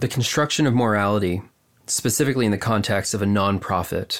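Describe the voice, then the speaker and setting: A man with a fairly low pitch and fairly even intonation speaks in a normal speaking voice. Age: 30s. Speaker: artist. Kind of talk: casual chat. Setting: remote call from home.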